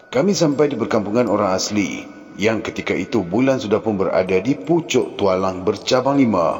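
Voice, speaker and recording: A man's voice, medium in pitch and lively in intonation, moves at a moderate speed while noticeable background noise carries on behind him. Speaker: storyteller. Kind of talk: horror novel reading. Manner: emotional.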